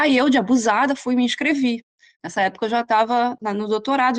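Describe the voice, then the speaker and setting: Speaking with a Rio de Janeiro accent, a woman uses a fairly high pitch with ordinary variation. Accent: Carioca Brazilian Portuguese. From Brazil, Rio de Janeiro. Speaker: nutritionist. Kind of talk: interview. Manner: hesitant, many fillers.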